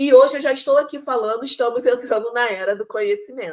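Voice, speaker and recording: A woman with a high pitch speaks at a moderate pace in a Rio de Janeiro accent. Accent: Carioca Brazilian Portuguese. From Rio de Janeiro, Brazil. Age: 40s. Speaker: teacher. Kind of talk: online lecture. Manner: hesitant, many fillers and repetitions.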